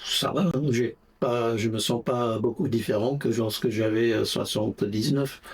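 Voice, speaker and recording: At a very slow pace and very even loudness, a man talks in a medium pitch with ordinary pitch variation over noticeable background noise. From England, Essex near London (Brentwood). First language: English (speaking French). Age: 80s+. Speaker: interviewee, retiree. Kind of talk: interview. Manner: hesitant, many fillers.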